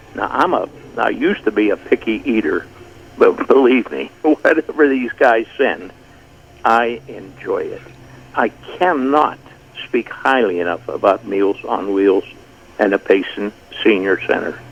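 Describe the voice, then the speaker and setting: A man talks at a fairly slow pace, leaving long, frequent pauses, with noticeable background noise throughout. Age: 80s+. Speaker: caller, retired newsman. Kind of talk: radio call-in. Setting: phone call.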